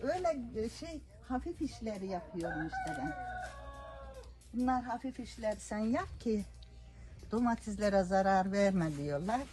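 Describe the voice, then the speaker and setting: With very wide pitch swings, a woman talks at a fairly slow pace, leaving long, frequent pauses over noticeable background noise. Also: medium pitch for a woman. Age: 70s. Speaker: greenhouse farm worker. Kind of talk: interview answer.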